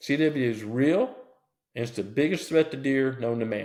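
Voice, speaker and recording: A man with an American accent speaks at a moderate pace in a medium pitch, his tone animated and his pitch varying in an ordinary way. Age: 60s. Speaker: deer biologist. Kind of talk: interview.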